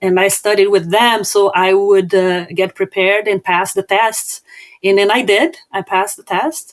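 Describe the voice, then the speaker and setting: The speaker uses fairly even intonation with a Brazilian Portuguese accent. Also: woman, medium pitch for a woman, moderate pace, dry, close sound with no echo. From southern Brazil. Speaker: business owner and author. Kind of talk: podcast interview. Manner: halting, frequent fillers and repetitions.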